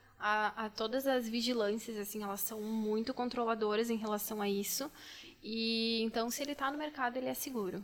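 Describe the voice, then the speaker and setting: An ordinary speaking voice from a woman, fairly high in pitch, with fairly even intonation at a moderate pace. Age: 20s. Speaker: pharmacist. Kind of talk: casual chat.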